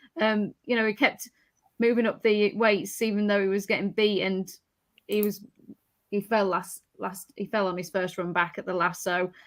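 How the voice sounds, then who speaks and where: In a strong Yorkshire accent, a woman speaks at a medium pitch and moderate pace with fairly even intonation. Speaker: horse racing tipster. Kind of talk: casual panel discussion.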